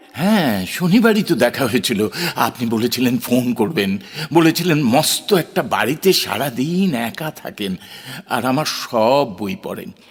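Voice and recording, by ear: A man puts on a character voice with a slightly husky edge. He talks fairly slowly, and his pitch swings widely. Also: medium pitch for a man, few pauses.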